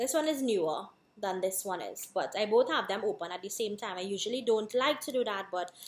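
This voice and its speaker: A woman speaks in a fairly high voice with ordinary pitch variation. The recording is very clean, with a silent background. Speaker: beauty vlogger. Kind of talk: product review tutorial.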